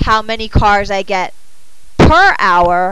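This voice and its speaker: A woman talks amid audible room echo and noticeable background noise. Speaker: math teacher. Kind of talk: classroom lecture. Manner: halting, thinking aloud; mumbling.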